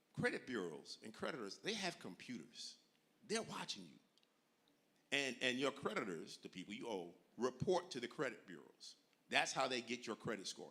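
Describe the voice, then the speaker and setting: Speaking at a moderate pace, a man with a medium pitch and a bright, sharp tone swings very widely in pitch and greatly in loudness, with vocal fry. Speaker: financial educator. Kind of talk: seminar talk. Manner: animated.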